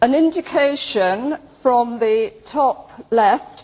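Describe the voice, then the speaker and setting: Loud and high-pitched, a woman speaks very slowly with lively intonation. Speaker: archaeology lecturer. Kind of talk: lecture.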